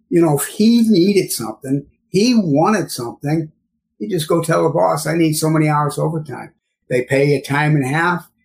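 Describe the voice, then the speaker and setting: With a plain, everyday voice, a man speaks at a moderate pace in a fairly high pitch with lively intonation. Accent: American. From St. Louis, Missouri. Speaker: cleaning chemicals and sanitation specialist. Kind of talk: casual interview.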